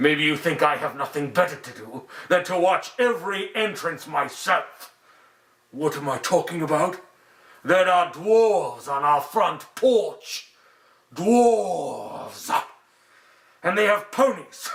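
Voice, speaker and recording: A man in a put-on character voice, high-pitched and fairly slow, with long, frequent pauses. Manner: commanding, contemptuous.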